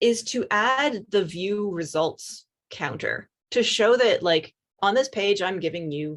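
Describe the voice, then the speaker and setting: Lively in intonation, a woman talks at a medium pitch in a plain, everyday voice. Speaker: software developer presenter. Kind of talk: technical demo presentation.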